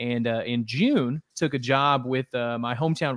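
A man with a plain, everyday voice speaks at a fairly slow pace and a medium pitch, using fairly even intonation. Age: 30s. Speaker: sports reporter. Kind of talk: casual interview chat.

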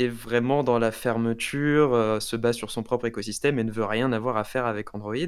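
A man with an ordinary speaking voice at a medium pitch, fairly even intonation and a moderate pace, on a very clean recording with a silent background. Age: 20s. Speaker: student and tech YouTuber. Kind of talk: casual interview.

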